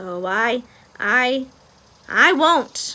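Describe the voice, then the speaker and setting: A woman's high-pitched, put-on character voice. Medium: read story. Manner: stammering, hesitant.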